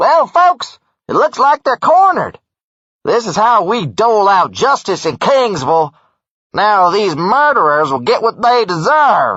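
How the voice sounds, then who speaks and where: Putting on a character voice, a man speaks high-pitched at a moderate pace with very wide pitch swings. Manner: boastful, showman-like.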